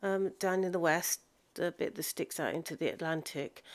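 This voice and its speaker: In a very clean recording with a silent background, a woman speaks with a South Coast English accent. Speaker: gaming streamer. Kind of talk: live gameplay stream. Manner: halting.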